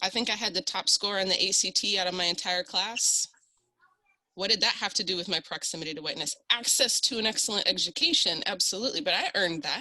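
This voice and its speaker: A woman with a Midwestern accent at a very fast pace, medium in pitch with ordinary pitch variation. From South Dakota, Sioux Falls. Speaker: panelist. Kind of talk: panel discussion. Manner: animated.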